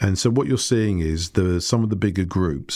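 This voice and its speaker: A dark, mellow tone with ordinary pitch variation in a British accent, on a very clean recording with a silent background. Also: man. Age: 50s. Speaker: marketing company CEO. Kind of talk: podcast interview.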